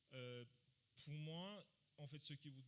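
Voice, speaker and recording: At a very slow pace, a man with a non-native accent speaks at a fairly high pitch with ordinary pitch variation. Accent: foreign accent in French. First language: not French (speaking French). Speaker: panelist. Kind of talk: panel discussion. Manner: halting, many hesitations.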